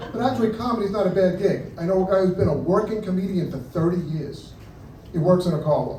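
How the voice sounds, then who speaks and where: A man with a New York accent talks at a very fast pace and a high pitch, with ordinary pitch variation, amid audible room echo and noticeable background noise. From New York, Brooklyn. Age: 60s. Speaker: stand-up comedian. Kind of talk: stand-up. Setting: stage with audience.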